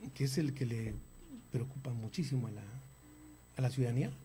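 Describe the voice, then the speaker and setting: Somewhat breathy and dark, mellow in tone, a man's fairly high voice moves at a moderate pace. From northern Mexico, Torreón, Coahuila. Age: 60s. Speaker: architect and politician. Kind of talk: interview. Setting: studio. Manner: halting, with frequent repetitions.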